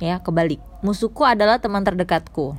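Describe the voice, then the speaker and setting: Music plays in the background as a woman speaks at medium pitch with ordinary pitch variation. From Medan, North Sumatra, Indonesia. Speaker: podcaster. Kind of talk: personal storytelling monologue. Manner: rambling, filler-heavy casual speech.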